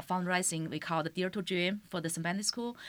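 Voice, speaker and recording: A woman's medium-pitched voice with a Chinese accent. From China. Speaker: teacher and community leader. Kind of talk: interview. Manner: halting.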